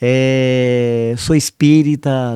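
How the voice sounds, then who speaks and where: This man's voice has a dark, mellow tone. The sound is dry and close, with no echo. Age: 60s. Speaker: environmental educator. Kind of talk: interview. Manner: hesitant.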